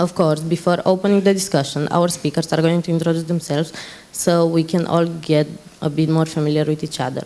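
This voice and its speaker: This woman talks at a fairly quick pace. Her pitch is fairly low and her intonation monotone and flat. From Romania. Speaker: panel moderator, Roma activist. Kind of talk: conference panel moderation. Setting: conference stage. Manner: halting.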